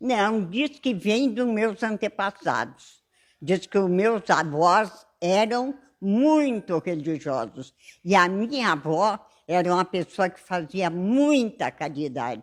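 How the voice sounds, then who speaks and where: Here a woman speaks very slowly at a medium pitch, with very wide pitch swings. The recording is very clean, with a silent background. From São Sepé, Rio Grande do Sul, Brazil. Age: 80s+. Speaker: retired shopkeeper and church minister. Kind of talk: interview. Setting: at her home.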